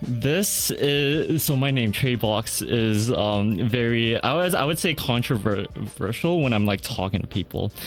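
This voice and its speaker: With music in the background, a man of medium pitch speaks at a fairly slow pace with lively intonation, very even loudness, and hardly any pauses. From Canada. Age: 20s. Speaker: online gamer. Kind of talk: casual interview chat.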